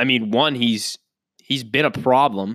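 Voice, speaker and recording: A man speaks at a moderate pace. The recording is very clean with a silent background and a dry, close sound with no echo. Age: 20s. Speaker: sports podcast host. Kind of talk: solo commentary monologue. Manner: casual, conversational.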